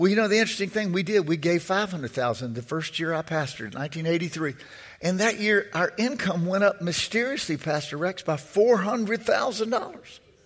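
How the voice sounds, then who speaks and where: Amid noticeable background noise, a man with a high voice talks at a moderate pace with lively intonation. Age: 60s. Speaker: preacher. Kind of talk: fiery sermon, preacher in full flow with call-and-response. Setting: church with congregation. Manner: repeats words and phrases while building momentum.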